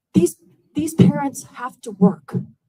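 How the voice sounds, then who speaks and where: A woman's fairly high-pitched, somewhat breathy voice with a dark, mellow tone. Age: 60s. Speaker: resident speaking at public comment. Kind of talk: public comment at town hall. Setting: town hall meeting. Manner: emotional, pleading.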